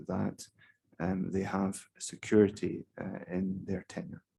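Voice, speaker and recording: Soft-spoken, a man talks with a fairly low pitch. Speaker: keynote speaker on investment law policy. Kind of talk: conference keynote talk. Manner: hesitant, many fillers.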